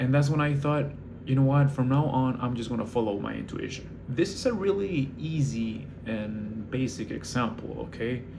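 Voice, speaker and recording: A man speaks with a non-native accent and lively intonation. Audible room echo surrounds his voice. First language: not English. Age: 20s. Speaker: barista manager and vlogger. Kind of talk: casual monologue vlog. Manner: hesitant, many fillers.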